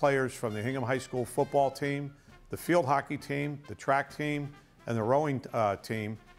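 A man at a moderate pace with fairly even intonation, faint music in the background. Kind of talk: interview explanation. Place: studio. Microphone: lapel.

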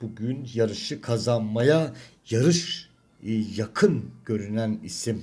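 A strained man's voice at medium pitch, very slow, with ordinary pitch variation. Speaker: horse racing tipster. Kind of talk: racing analysis monologue.

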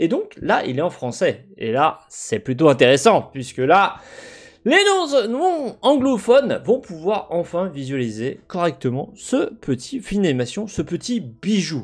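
A man talks very slowly, his pitch swinging very widely. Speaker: gaming video commentator. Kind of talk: commentary.

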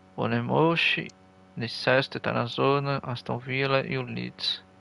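Here a man speaks with a Brazilian accent. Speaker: gaming streamer. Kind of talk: live gameplay commentary. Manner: animated.

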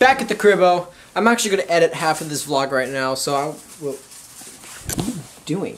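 Light background noise sits behind a man who talks at a moderate pace with a high pitch and lively intonation. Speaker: travel vlogger. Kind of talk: casual vlog chat.

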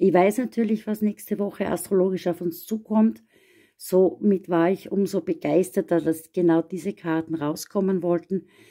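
Over a quiet background, a woman at a medium pitch talks in a dark, mellow, warm tone with fairly even intonation. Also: moderate pace. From Austria. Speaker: astrologer; card reader. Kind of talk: astrology forecast monologue. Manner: warm, personal. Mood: gentle, encouraging. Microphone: phone near.

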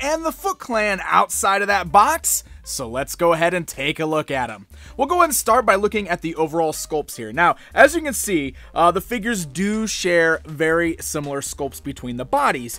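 A man speaks at a moderate pace in a dry sound with no echo, with faint music in the background. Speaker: toy reviewer. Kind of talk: product review commentary. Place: studio.

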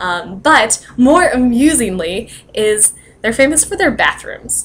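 Light background noise is present. The voice belongs to a woman. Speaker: vlogger. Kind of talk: casual vlog chat. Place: home room. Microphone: webcam.

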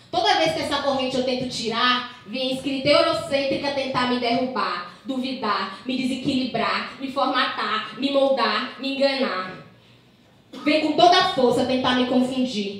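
Speaking at a fairly slow pace with a high pitch and ordinary pitch variation, a woman is heard amid strong room echo. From Maranhão, Northeast Brazil. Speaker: slam poet. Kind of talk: slam poetry performance. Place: bar.

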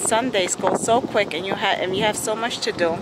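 Ordinary pitch variation comes through over loud background noise. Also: woman, dry sound with no echo. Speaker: family vlogger. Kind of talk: casual vlog chat. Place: waterside. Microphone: phone near.

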